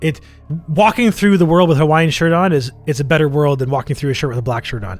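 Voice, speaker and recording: Over music in the background, a man talks at a very fast pace in a fairly high pitch, with an animated tone and lively intonation. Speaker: podcast co-host. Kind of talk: casual chat.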